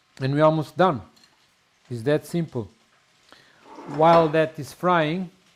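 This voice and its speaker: Speaking at a fairly slow pace in a Portuguese accent, a man with a fairly high pitch and ordinary pitch variation leaves long, frequent pauses while his loudness swings widely. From Portugal. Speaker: home cook. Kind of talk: cooking tutorial. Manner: casual, slightly halting.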